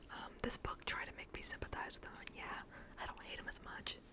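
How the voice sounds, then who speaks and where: A woman whispers at a very fast pace. Noticeable noise runs in the background. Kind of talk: ASMR book rambling. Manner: whispered.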